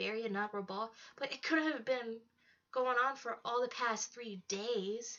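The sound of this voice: The speaker uses an unforced reading voice. Pitch varies in an ordinary way.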